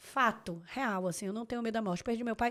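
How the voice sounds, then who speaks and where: The recording is very clean, the background silent. A woman speaks in an animated tone at a fairly high pitch. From Bahia, Salvador. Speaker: lawyer. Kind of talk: casual chat.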